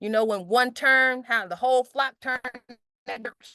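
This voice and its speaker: Loud and dry, a woman's voice comes across close with no echo. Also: quiet background. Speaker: meeting organizer presenting objectives. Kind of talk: online group meeting presentation. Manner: halting, with many restarts.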